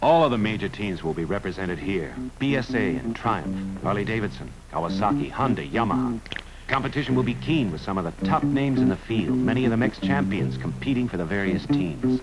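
A man at a fairly quick pace over loud music in the background. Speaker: film narrator. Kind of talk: documentary commentary. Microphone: old recording.

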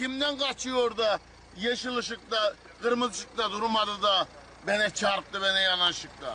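A man's raised, projected voice, high-pitched, at a fairly slow pace with ordinary pitch variation over noticeable background noise. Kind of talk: street interview answer. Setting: outdoors.

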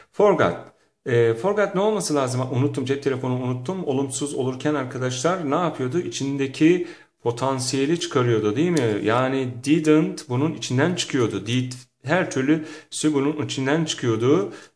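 The speech moves at a moderate pace. Room echo is audible throughout. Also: man, fairly high pitch for a man, ordinary pitch variation. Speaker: English teacher. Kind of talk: lecture. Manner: animated.

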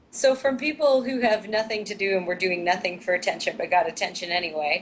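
Over noticeable background noise, a woman talks at a fairly quick pace and medium pitch with ordinary pitch variation. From US Midwest. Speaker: online talk show co-host. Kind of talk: casual panel discussion. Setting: remote link-up.

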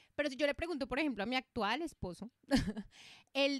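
A woman speaks in an animated tone with very wide pitch swings. The background is quiet, and the sound is dry with no echo. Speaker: podcast co-host. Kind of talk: casual chat. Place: home room. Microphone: studio mic.

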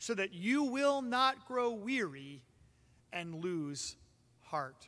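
A man speaks in a raised, projected voice. His tone is bright and sharp. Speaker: pastor. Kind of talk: sermon. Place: church.

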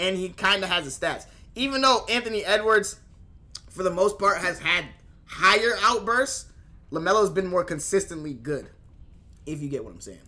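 A man's raised, projected voice, high-pitched with a bright, sharp tone and lively intonation, at a fairly quick pace broken by long, frequent pauses. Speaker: streamer. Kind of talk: casual reaction chat. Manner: casual, conversational. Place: home room.

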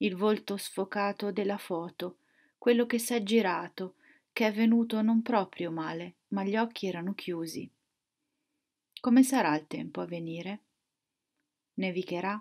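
Against a quiet background, a woman speaks at a fairly slow pace with long, frequent pauses and ordinary pitch variation. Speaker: poet. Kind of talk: poetry reading aloud. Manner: slow, contemplative, measured. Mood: quiet, reflective, calm. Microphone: webcam.

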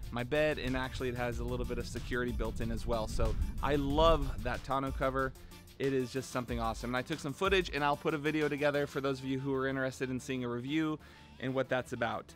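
Very fast speech in a dry sound with no echo, faint music in the background. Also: man. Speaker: car channel host. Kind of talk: casual vlog chat. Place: street. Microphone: phone near.

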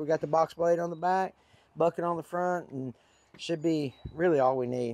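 Against a quiet background with a dry sound and no echo, a man speaks at a moderate pace in a high pitch with ordinary pitch variation. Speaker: tractor operator. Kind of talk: casual talk to camera. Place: open country. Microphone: phone near.

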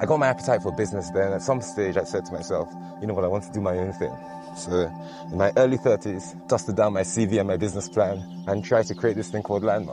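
A man's very deep, low voice at a very fast pace with fairly even intonation, dry with no echo, over clear music in the background. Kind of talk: interview answer. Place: beach. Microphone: lapel.

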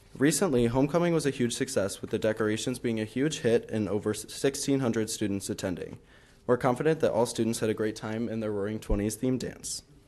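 With a dark, mellow tone, a man talks at a fairly quick pace with ordinary pitch variation. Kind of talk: report read aloud. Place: meeting room. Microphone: podium.

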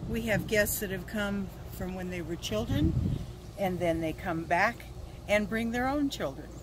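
The recording of a woman's voice is dry with no echo, and there is noticeable background noise. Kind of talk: interview answer. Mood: warm, cheerful. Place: street.

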